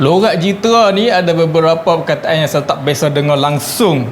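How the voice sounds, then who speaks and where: With a Kedah accent, a man speaks at a moderate pace and high pitch with ordinary pitch variation, amid noticeable background noise. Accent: northern Malay (Kedah). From Baling, Kedah, Malaysia. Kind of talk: casual talk to camera.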